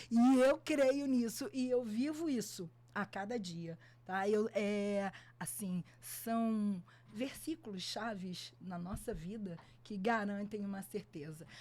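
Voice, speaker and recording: A woman speaks at a very slow pace. Her voice is somewhat breathy, with a dark, mellow tone. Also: medium pitch for a woman, lively intonation. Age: 60s. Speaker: photographer and music teacher. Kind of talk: podcast interview.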